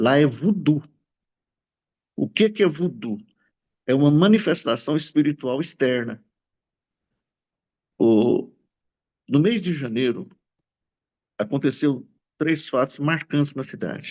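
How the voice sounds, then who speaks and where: His pitch is fairly high and his intonation lively. The man talks at a very slow pace, with long, frequent pauses. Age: 60s. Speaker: pastor. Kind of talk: testimony.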